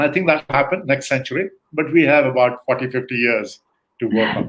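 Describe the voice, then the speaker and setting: Speaking at a fairly quick pace with ordinary pitch variation, a man with a fairly high pitch has an unremarkable speaking voice. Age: 60s. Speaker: guest expert on leadership. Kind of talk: interview conversation.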